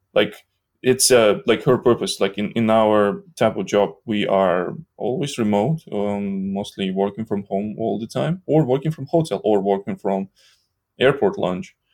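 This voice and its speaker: Fairly low in pitch, a man talks in an ordinary speaking voice at a fairly slow pace. His pitch variation is ordinary, and the recording is very clean with a silent background. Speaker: developer advocate. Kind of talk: casual chat.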